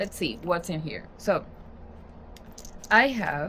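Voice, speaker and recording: A woman with a Spanish accent talks at a moderate pace and fairly low pitch. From Spanish-speaking country. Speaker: journaling and book content creator. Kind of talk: casual vlog tutorial. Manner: casual, conversational with fillers.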